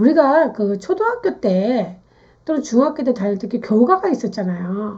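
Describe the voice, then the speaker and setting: Against a quiet background, a woman speaks at a moderate pace in a high pitch with very wide pitch swings. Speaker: naming and fortune-telling teacher. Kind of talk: lecture.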